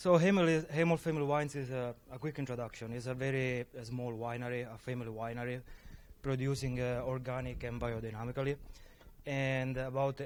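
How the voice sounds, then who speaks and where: This man talks at a fairly quick pace with a strong Sicilian accent. His pitch sits at a medium level. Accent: heavy Sicilian Italian. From Sicily. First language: Italian. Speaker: viticulturist. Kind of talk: panel discussion. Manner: halting, many fillers.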